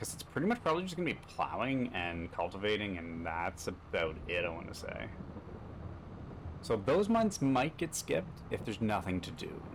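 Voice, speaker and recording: With a slight Canadian accent, a man speaks at a fairly low pitch. His pitch swings very widely. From Canada. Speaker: gaming streamer. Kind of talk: gameplay commentary. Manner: fast.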